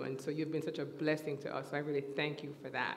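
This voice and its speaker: Light background noise accompanies a woman speaking. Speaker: church teacher. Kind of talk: sermon. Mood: warm and smiling. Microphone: headset.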